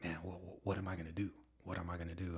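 A man talks in a very deep, low voice. It sounds somewhat breathy. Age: 40s. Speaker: family member, entrepreneur. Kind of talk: casual chat. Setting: home studio.

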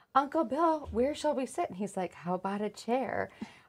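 In a very clean recording with a silent background, a woman talks at a fairly quick pace in an ordinary speaking voice with lively intonation. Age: 40s. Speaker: podcast co-host, coffee business owner. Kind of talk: casual chat.

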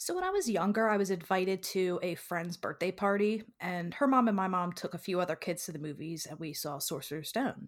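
Lively intonation and a moderate pace come through in an unremarkable speaking voice. The background is silent and the recording very clean. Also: woman. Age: 20s. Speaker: marketing coordinator. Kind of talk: casual interview.

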